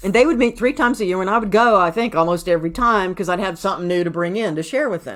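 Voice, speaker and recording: Talking at a very fast pace in a Southern US accent, a woman with a medium pitch uses lively intonation. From US South, Atlanta. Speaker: CPA and accounting advisor. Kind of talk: podcast interview.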